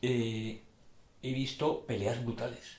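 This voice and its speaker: Audible room echo surrounds a man speaking at medium pitch with a Madrid accent. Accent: Castilian Spanish (Madrid). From Madrid, Spain. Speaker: poet. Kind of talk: interview. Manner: halting.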